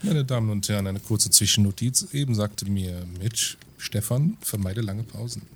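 A man's fairly low, somewhat breathy voice with ordinary pitch variation and a fairly quick pace. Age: 30s. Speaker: podcast co-host. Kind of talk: casual chat.

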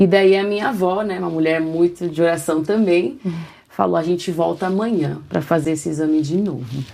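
A woman's fairly low voice with a dark, mellow tone, fairly quick pace and ordinary pitch variation. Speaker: worship leader and artist. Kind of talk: interview testimony.

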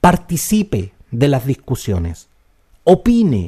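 A man's very slow, somewhat breathy speech with a Chilean accent and very wide pitch swings. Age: 50s. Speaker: podcast host and commentator. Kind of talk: opinion monologue.

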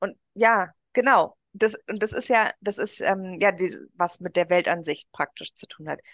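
At a fairly slow pace, a woman speaks in a medium pitch with ordinary pitch variation and big swings in loudness, the sound dry and close with no echo. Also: quiet background. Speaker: podcast co-host. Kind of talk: casual chat.

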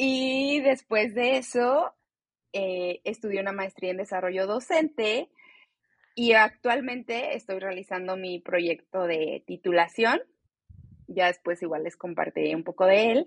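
A woman's normal speaking voice, medium in pitch, with lively intonation and a dry, close sound with no echo. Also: fairly slow pace. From Mexico, Celaya, Guanajuato; teen years in Chicago. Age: 20s. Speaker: podcast co-host, educator and meditation guide. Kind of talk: casual chat.

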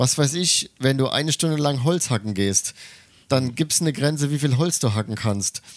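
A man's ordinary speaking voice at a moderate pace, with ordinary pitch variation. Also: medium pitch for a man, very even loudness. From Germany. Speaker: podcast co-host. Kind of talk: casual chat.

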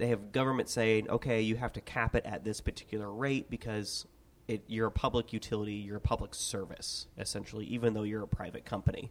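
At a fairly quick pace, a man speaks in a monotone, flat intonation. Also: medium pitch for a man. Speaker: podcast host. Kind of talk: casual chat. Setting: office.

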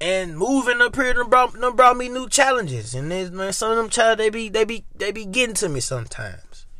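A man with an American accent, high-pitched, bright and sharp, with a raised, projected voice and an animated tone, ordinary pitch variation, a fairly quick pace and hardly any pauses. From Memphis, Tennessee, US South. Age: 20s. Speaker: podcast host. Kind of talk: casual solo monologue.

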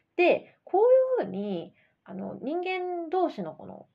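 A woman speaks at a moderate pace. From Japan. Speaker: English coach podcast host. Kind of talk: educational podcast monologue. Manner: casual, chatty with many fillers.

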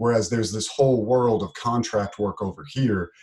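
A man's somewhat breathy, fairly low voice with an American accent, over a quiet background. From United States. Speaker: podcast co-host, programmer. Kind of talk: casual chat.

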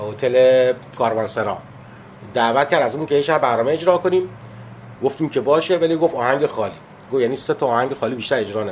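A man talks at a very fast pace with ordinary pitch variation. Long, frequent pauses break up his speech. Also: medium pitch for a man. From Abadan, southwestern Iran (Khuzestan). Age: 50s. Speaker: musician. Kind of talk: interview. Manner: halting.

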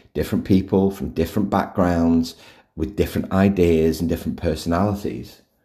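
In a very deep, low pitch and a dark, mellow tone, a man talks at a moderate pace. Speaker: podcast host, workplace culture author. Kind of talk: solo podcast talk. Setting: recording at home. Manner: casual, with fillers and restarts.

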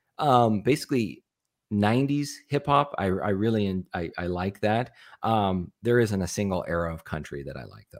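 An ordinary speaking voice moves at a moderate pace with lively intonation and big swings in loudness. The recording is very clean, with a silent background. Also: man, fairly low pitch for a man. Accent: American. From US Southwest, small town in northeastern Arizona. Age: 30s. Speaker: YouTube content creator and business owner. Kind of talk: casual interview chat.

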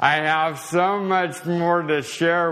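Audible room echo surrounds a man speaking at a very slow pace with a fairly high pitch. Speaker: assistant pastor. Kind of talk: sermon. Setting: church. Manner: slow and slurred speech.

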